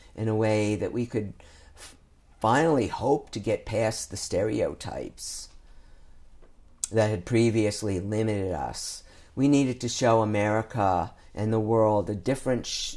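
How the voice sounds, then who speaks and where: Using an ordinary speaking voice, a man with a medium pitch speaks at a fairly slow pace with fairly even intonation. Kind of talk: oral history interview answer.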